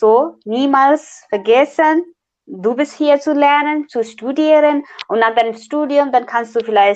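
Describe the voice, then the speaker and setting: The speaker is a woman. Her intonation is lively. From Nepal. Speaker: international student. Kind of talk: casual interview. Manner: halting, many fillers.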